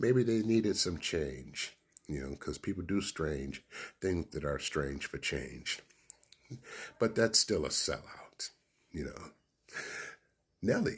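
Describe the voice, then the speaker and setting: Very deep and low with vocal fry, a man's voice swings very widely in pitch as he talks at a very slow pace with long, frequent pauses. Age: 60s. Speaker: radio DJ and commentator. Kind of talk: casual opinion monologue. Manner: animated.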